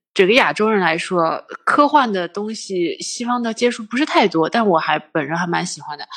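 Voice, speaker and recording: A woman's medium-pitched voice at a moderate pace, with very wide pitch swings and hardly any pauses. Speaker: finance worker and film fan. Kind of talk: casual chat. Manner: frequent hearty laughter.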